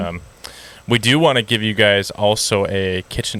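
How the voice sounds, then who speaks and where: Bright and sharp in tone, a man with a Wisconsin accent speaks at a fairly low pitch. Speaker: dog trainer. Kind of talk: casual podcast conversation. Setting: outdoors.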